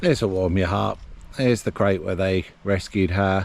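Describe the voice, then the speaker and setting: A man speaks with a very deep, low pitch and a relaxed tone. His pace is fairly slow. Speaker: travel vlogger. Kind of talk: walking tour vlog narration. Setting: outdoors. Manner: casual, relaxed.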